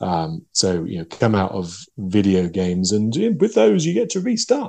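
A man in an English accent speaks with ordinary pitch variation. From England. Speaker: game designer and novelist. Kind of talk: interview.

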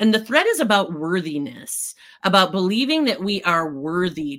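A woman speaks in a normal speaking voice with an American accent, her pitch fairly low for a woman. The pace is moderate, and the recording is very clean with a silent background. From US Midwest. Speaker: CEO and author. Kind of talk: interview conversation.

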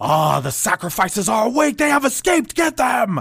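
Shouting in a put-on character voice, a man goes extremely high in pitch at a fairly quick pace, with very wide pitch swings. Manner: alarmed, shouting an order.

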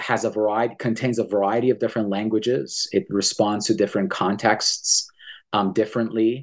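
This is an unremarkable speaking voice at a fairly quick pace, with ordinary pitch variation. The loudness stays very even over a quiet background. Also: man, fairly low pitch for a man. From Iran, Tehran; Canada from age 15. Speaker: professor and author. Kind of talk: interview about his book.

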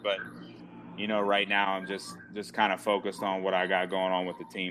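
A man with an American accent at a very fast pace. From Maryland, US. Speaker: college baseball coach. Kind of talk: podcast interview.

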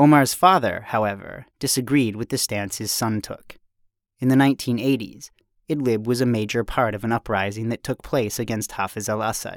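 With a normal speaking voice, a man talks at a moderate pace and medium pitch with ordinary pitch variation. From United States. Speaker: journalist. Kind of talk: scripted narration.

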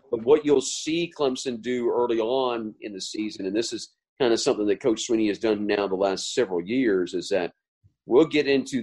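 A man at medium pitch, a plain, everyday voice with ordinary pitch variation. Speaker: sports radio play-by-play announcer. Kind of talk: interview.

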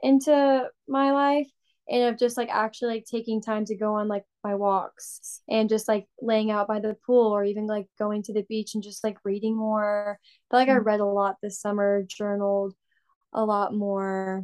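A woman with an American accent speaks at a moderate pace with a fairly high pitch and fairly even intonation, in a plain, everyday voice. The sound is dry and close with no echo, over a quiet background. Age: 20s. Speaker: recent graduate, ministry worker. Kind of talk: casual chat.

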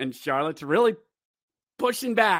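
In a very clean recording with a silent background, a man projects a raised voice with a bright, sharp, animated tone and very wide pitch swings. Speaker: hockey podcast host. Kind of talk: excited play-by-play style recap of a hockey game. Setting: live stream. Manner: animated, shouting goal calls with exclamations; high energy, unfiltered, rambling and self-correcting.

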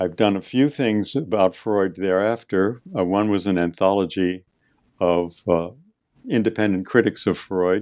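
A man speaks in a very deep, low pitch at a fairly slow pace, with ordinary pitch variation. Behind him, the background is quiet. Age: 80s+. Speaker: retired English professor and author. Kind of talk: interview. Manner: halting.

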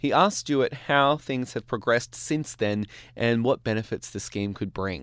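An Australian accent in a very clean recording with a silent background. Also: man, medium pitch for a man, ordinary pitch variation, moderate pace. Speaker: radio show host. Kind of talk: radio presenting. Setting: studio.

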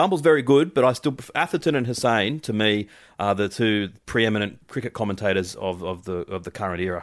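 With an Australian accent, a man talks at a fairly quick pace with hardly any pauses, his fairly low voice showing lively intonation. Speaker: cricket co-host. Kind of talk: casual chat.

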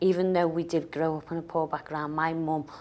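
A woman with a very deep, low pitch and a Liverpool accent speaks at a moderate pace in a monotone, flat intonation. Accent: Liverpool (Scouse) English. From Liverpool, England. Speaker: business author. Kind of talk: interview.

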